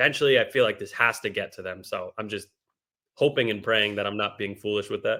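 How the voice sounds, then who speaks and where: A man talks at a fairly quick pace in an American accent, on a very clean recording with a silent background. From Boston area, Massachusetts. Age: 20s. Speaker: sports podcaster. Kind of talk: casual chat.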